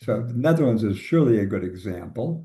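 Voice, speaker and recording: Speaking at a moderate pace with lively intonation, a man with an American accent has a medium pitch, a dark, mellow tone and a somewhat breathy quality. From US Midwest, suburban Chicago. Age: 80s+. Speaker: labor economist, professor. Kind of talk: interview conversation.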